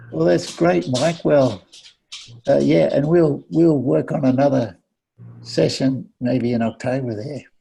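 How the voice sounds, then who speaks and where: A somewhat breathy man at medium pitch, speaking fairly slowly with very wide pitch swings. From Australia (Sydney). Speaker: missionary. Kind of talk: casual chat.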